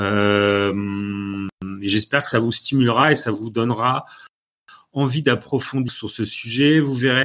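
The voice moves at a very slow pace. Its pitch variation is ordinary. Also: man, medium pitch for a man. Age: 50s. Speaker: communication consultant. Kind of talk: lecture. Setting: live-streamed masterclass.

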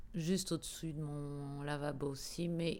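Pitch varies ordinarily as a woman talks at a fairly slow pace. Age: 50s. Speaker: radio professional. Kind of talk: interview. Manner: halting.

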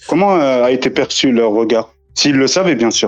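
A man speaks at a fairly slow pace. His medium-pitched voice is a plain, everyday voice. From France. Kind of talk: casual chat.

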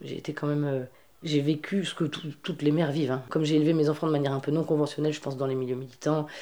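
A woman's very deep, low voice, dark and mellow in tone, very fast and monotone, with flat intonation. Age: 30s. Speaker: feminist activist and festival organizer. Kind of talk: interview. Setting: at her home. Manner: halting, with many repetitions.

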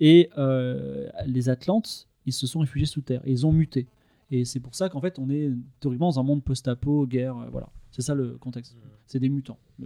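A man's dark, mellow tone comes through a dry, close sound with no echo, at a moderate pace and with fairly even intonation. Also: medium pitch for a man. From Toulon, southern France. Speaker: video director. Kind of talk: casual chat.

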